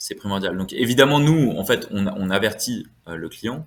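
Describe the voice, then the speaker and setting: Intonation rises and falls in a lively way as a man speaks. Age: 20s. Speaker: wealth management adviser. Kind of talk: podcast interview. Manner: hesitant, many fillers.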